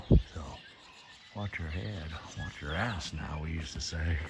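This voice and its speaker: Noticeable background noise sits behind a man with an American accent whose pitch varies in an ordinary way. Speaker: vlogger, former coal miner. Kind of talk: casual vlog narration. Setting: underground cave tour. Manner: whispering; normally loud and talkative.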